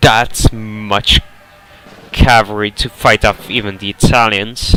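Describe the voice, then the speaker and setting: With music in the background, a man with an Eastern European accent speaks at a very slow pace in a fairly low pitch and a monotone, flat intonation. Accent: Slavic. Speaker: game match commentator. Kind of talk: video game match commentary.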